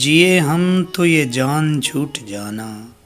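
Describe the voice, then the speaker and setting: A man talks with lively intonation. Music plays in the background. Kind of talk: poetry reading.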